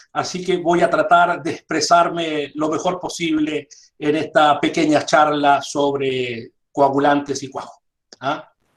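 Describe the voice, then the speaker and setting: A man's fairly high, monotone voice with flat intonation at a very slow pace. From Chile. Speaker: dairy industry consultant. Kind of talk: online lecture. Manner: frequent fillers.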